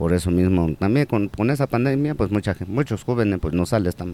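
A man's dark, mellow tone sits at a fairly low pitch with lively intonation. He keeps a moderate pace with hardly any pauses. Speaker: corner shop owner and basketball coach. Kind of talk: interview. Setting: in his shop.

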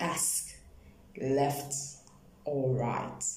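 A woman talks at a very slow pace. Noticeable background noise runs under her voice. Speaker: poet and translator guest. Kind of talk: personal intro, then bilingual poem reading. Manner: intimate, reflective, reverent reading.

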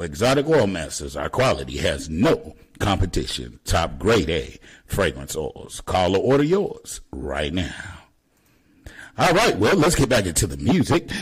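A man speaks fairly slowly at a very deep, low pitch with vocal fry and very wide pitch swings. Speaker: radio host. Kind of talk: radio DJ patter. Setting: live internet radio stream. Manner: upbeat, chatty.

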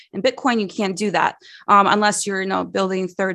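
A woman with an American accent talks at a fairly quick pace in a bright, sharp tone. Her pitch is medium, and the background is quiet. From United States. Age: 30s. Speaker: bitcoin educator. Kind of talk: interview conversation.

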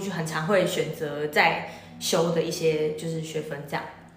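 Amid noticeable background noise and audible room echo, a woman speaks at a moderate pace in a fairly low voice. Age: young. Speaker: university student. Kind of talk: interview.

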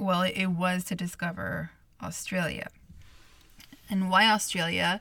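A woman speaks at a medium pitch in a bright, sharp tone with vocal fry and monotone, flat intonation. Her pace is fairly slow, with long, frequent pauses. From Montreal, Canada. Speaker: podcast host. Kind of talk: solo podcast monologue.

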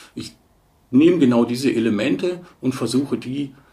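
A man at medium pitch with vocal fry and lively intonation, at a fairly slow pace. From Bavaria, Munich. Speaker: stock photo agency manager. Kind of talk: interview.

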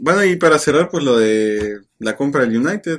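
A fairly high male voice with lively intonation. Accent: Mexican. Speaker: football podcast co-host. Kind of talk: casual chat.

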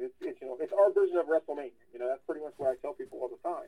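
Here a man is talking. He has an American accent. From Ohio, US. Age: 40s. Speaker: wrestling promoter. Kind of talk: casual interview.

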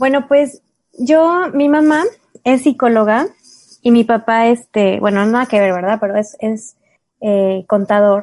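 A woman speaks at a fairly slow pace in a fairly high pitch, with ordinary pitch variation and long, frequent pauses. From Mexico. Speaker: special education therapist. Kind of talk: interview conversation.

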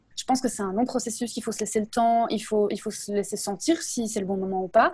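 Speaking at a very fast pace, a woman has a somewhat breathy, dark, mellow tone, a fairly high pitch and ordinary pitch variation. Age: 30s. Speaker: instagram creator sharing creative explorations. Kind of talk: casual interview.

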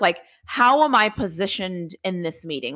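A woman speaks loudly at a moderate pace, her animated voice bright and sharp with very wide pitch swings. The recording is very clean, with a silent background. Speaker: podcast host. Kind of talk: casual conversation interview. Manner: loud, animated.

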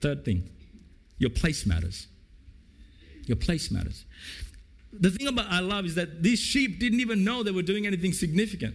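Very wide pitch swings at a moderate pace, with long, frequent pauses and audible room echo. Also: man, high pitch for a man. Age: 50s. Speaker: pastor. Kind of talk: sermon. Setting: church.

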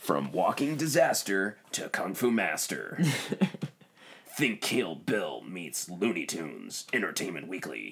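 Using a put-on character voice, a man speaks at a fairly slow pace and a fairly low pitch. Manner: dramatic, over-the-top.

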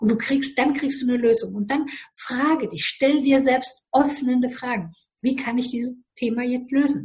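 At a moderate pace, a woman talks in a high pitch with fairly even intonation. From Romania. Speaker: life coach. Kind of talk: interview.

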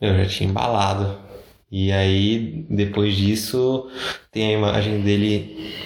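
A man speaks very slowly in a fairly low pitch, with fairly even intonation and very even loudness. Room echo is audible. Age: 20s. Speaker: podcast co-host. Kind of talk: casual chat.

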